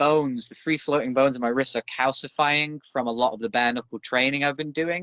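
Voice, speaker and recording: A man with a Northern English accent speaks at a fairly high pitch. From northern England. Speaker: former pro wrestler and bare knuckle boxer. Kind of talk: podcast interview.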